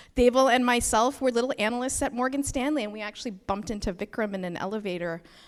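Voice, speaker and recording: A woman with a Canadian accent talks at a fairly quick pace. Her pitch is fairly high and her intonation lively. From Canada. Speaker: nonprofit co-founder. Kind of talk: opening remarks speech.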